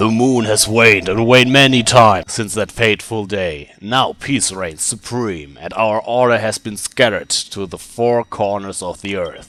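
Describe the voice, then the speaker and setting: Putting on a character voice, a man speaks at medium pitch and a moderate pace, with hardly any pauses. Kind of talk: reading game dialogue aloud in character.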